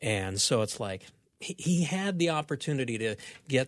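On a very clean recording with a silent background, a man with an ordinary speaking voice talks at a moderate pace with lively intonation. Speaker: radio show producer. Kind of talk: casual chat about bible passages. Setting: studio.

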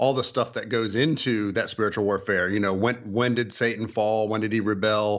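A man speaks in an unremarkable speaking voice at medium pitch, keeping a moderate pace and fairly even intonation. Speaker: author and illustrator. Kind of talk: radio interview.

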